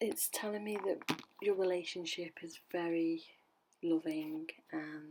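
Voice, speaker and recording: Whispering, a woman speaks at a very slow pace. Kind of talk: ASMR tarot reading. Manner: whispered, soothing.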